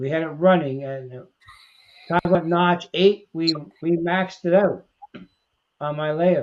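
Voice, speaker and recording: A man speaks with a high pitch at a fairly slow pace, his intonation fairly even. His loudness swings widely, broken by long, frequent pauses. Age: 70s. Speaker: model railroad hobbyist. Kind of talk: casual chat. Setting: livestream.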